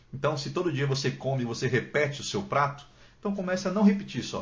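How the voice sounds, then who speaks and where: Somewhat breathy speech races along at a very fast pace with very wide pitch swings, and room echo is audible. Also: man. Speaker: book content creator. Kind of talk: live stream Q&A chat. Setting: Instagram live from home. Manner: talkative. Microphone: poor internet, may freeze.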